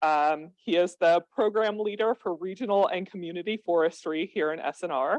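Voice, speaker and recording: In an ordinary speaking voice, a woman with a fairly low pitch and ordinary pitch variation talks at a moderate pace, the sound dry and close with no echo. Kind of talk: seminar speaker introduction.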